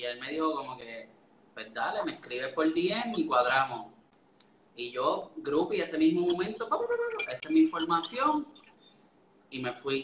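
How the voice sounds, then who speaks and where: A man with a Puerto Rican accent at a fairly slow pace, over noticeable background noise. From Puerto Rico, Orocovis. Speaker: food photographer. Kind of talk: casual live-stream interview. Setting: online live stream.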